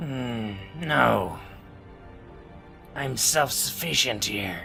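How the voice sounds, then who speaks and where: Raspy put-on character voice from a man, medium in pitch, at a very slow pace over clear background music. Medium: actual play. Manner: insistent, jovial.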